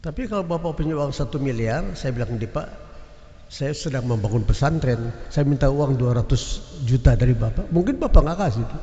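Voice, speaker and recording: A man talks at a fairly high pitch with ordinary pitch variation, and audible room echo surrounds his voice. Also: fairly quick pace. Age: 80s+. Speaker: preacher. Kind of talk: sermon. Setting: mosque, Friday prayer congregation.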